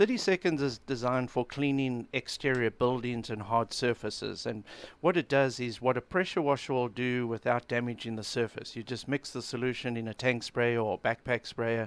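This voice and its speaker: A man speaks in a normal speaking voice at a moderate pace with hardly any pauses and ordinary pitch variation. The sound is dry and close with no echo, in a very clean recording with a silent background. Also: medium pitch for a man. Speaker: cleaning product company owner. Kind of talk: radio interview answer.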